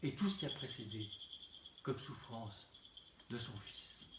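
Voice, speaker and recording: Audible room echo surrounds a man who speaks very slowly with very wide pitch swings. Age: 70s. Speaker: Orthodox bishop. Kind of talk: sermon. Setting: church. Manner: halting.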